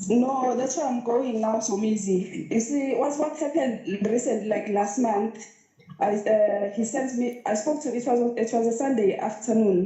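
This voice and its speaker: A woman with a Zulu accent speaks at a moderate pace, her pitch fairly high with ordinary variation. Audible room echo and noticeable background noise are present. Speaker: caller to live show. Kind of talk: personal story.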